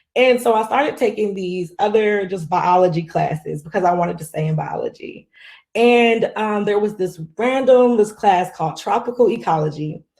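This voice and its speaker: Spoken at a moderate pace in a Southern US accent, the voice shows ordinary pitch variation on a very clean recording with a silent background. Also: woman, medium pitch for a woman. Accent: Southern US country. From US South, Greenwood, South Carolina. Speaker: marine scientist. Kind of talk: conference keynote talk. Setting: virtual conference. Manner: casual, conversational.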